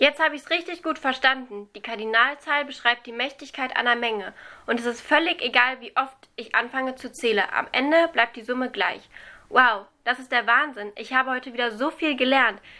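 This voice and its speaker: A woman speaks in a raised, projected voice with a high pitch and a bright, sharp tone. Her pace is moderate, her pitch variation ordinary, and her loudness swings widely. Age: young. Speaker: student teacher podcast host. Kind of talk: scripted educational explainer.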